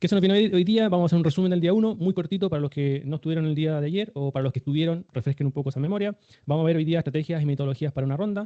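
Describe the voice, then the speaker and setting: A man talks at a very fast pace. His pitch sits fairly high. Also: ordinary pitch variation. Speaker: startup fundraising instructor. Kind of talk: online workshop lecture.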